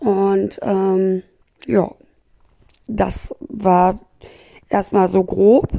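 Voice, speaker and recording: Here a woman talks at a very slow pace with long, frequent pauses. Her pitch is medium. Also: ordinary pitch variation. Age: 30s. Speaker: podcaster. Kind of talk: casual personal monologue. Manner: chatty, many fillers; animated.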